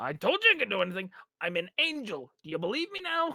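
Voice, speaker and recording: A put-on character voice, fairly high in pitch, at a very fast pace. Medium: actual play.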